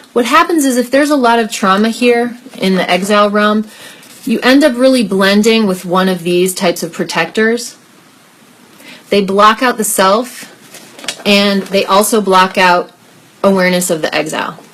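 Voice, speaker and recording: Noticeable background noise sits under a woman's voice. She goes at a moderate pace with long, frequent pauses. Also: medium pitch for a woman, ordinary pitch variation. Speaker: life coach and workshop leader. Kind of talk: online group workshop. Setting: live video stream.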